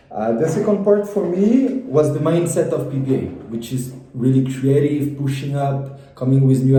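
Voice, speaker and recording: A man with a French accent speaks at a moderate pace and medium pitch. Audible room echo surrounds his voice. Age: 20s. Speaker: former business school student. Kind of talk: testimony. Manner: halting, many repetitions.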